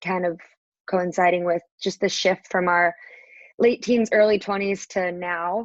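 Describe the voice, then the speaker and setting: Dry and close with no echo, this clip has a woman at a medium pitch and a moderate pace. Hers is an unremarkable speaking voice. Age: 20s. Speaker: podcast guest, marketing manager. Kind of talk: interview. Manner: frequent filler words (um).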